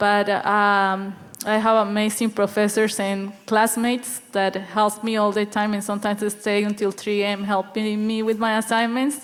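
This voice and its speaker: With a Spanish accent, a woman speaks at a moderate pace in a fairly high pitch, her intonation monotone and flat, with hardly any pauses. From Colombia. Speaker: student panelist. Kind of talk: panel discussion.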